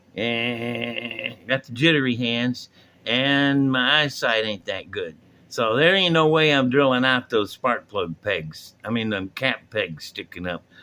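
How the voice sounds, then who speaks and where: A man speaks at a medium pitch in a bright, sharp tone with lively intonation. He goes at a very slow pace on a very clean recording with a silent background. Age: 60s. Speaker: hobbyist video host. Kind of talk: casual tutorial. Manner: relaxed, rambling.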